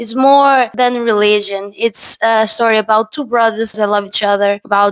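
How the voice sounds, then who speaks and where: This woman speaks with a Portuguese accent at a fairly high pitch. Her pace is fairly slow. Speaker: film reviewer. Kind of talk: video essay, partly read script.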